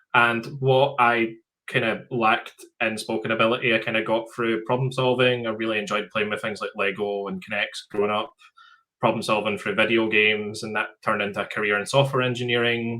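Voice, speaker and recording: A man with a Scottish accent talks at a fairly quick pace in a bright, sharp tone with monotone, flat intonation. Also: medium pitch for a man. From rural Scotland. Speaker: software company founder. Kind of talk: interview. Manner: halting, frequent fillers.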